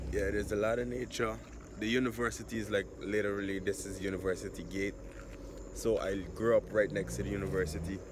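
Over noticeable background noise, a man with a fairly low pitch and vocal fry talks at a very fast pace with lively intonation, the sound dry with no echo. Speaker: vlogger. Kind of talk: casual vlog chat. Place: street. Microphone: phone near.

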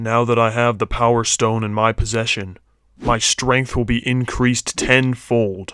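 A man puts on a character voice. He keeps a medium pitch and a moderate pace. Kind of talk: comic parody voice acting. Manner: menacing, then comically whiny.

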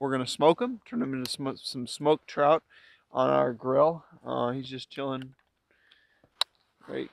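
A man at a moderate pace in a dry sound with no echo. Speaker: fishing vlogger. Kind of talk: casual vlog chat. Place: open country. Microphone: phone near.

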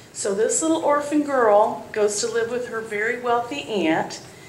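A woman speaks in a high voice with lively intonation. The room echoes audibly, with light background noise underneath. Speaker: children's storyteller. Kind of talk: storytelling to children. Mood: warm, cheerful. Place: church.

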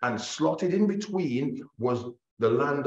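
There is audible room echo as a man speaks at a fairly slow pace in a somewhat breathy voice. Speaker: bible class teacher. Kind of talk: sermon. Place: hall.

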